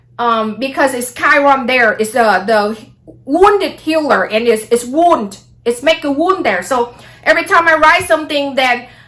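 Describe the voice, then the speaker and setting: The speaker is a woman. She has a Vietnamese accent. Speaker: astrology vlogger. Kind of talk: casual monologue vlog.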